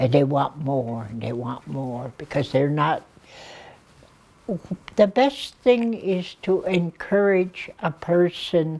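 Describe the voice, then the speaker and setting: Very slow and broken by long, frequent pauses, a woman's very deep, low voice carries a dark, mellow tone, with very wide pitch swings and big swings in loudness. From Blood Reserve, Alberta, Canada. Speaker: addictions worker, elder. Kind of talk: interview answer. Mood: earnest, caring. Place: studio.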